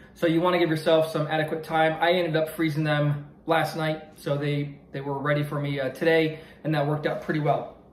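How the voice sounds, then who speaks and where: A man's monotone, flat delivery at a fairly quick pace, with audible room echo and light background noise. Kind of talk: casual cooking vlog chat. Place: kitchen. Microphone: phone near.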